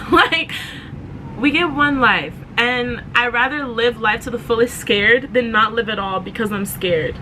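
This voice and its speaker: Against noticeable background noise, a woman with a fairly high voice sounds animated, with ordinary pitch variation. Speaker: podcast host. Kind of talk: motivational podcast monologue. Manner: fast.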